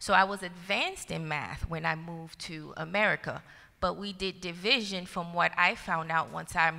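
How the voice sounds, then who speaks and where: A woman's fairly low voice with a bright, sharp tone and vocal fry, fairly even intonation, a moderate pace, and a very clean recording with a silent background. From Haiti. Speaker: school district educator. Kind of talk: panel discussion.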